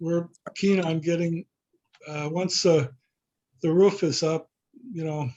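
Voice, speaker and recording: Pitched high for a man, his dark, mellow tone moves at a fairly slow pace with fairly even intonation and long, frequent pauses. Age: 70s. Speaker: variance applicant. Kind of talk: public meeting. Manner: halting.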